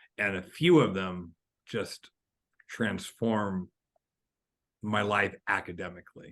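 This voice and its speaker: A man with a Californian accent speaks at a very slow pace in a fairly low voice, with ordinary pitch variation and long, frequent pauses, recorded with a dry, close sound and no echo. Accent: General American (California). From California, high desert small town. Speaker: author and education speaker. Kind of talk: interview conversation. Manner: halting, repeated words.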